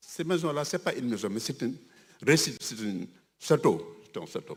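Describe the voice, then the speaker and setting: Fairly high for a man, the voice swings very widely in pitch, with vocal fry and a moderate pace. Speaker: religious community leader. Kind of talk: ceremony speech. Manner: halting.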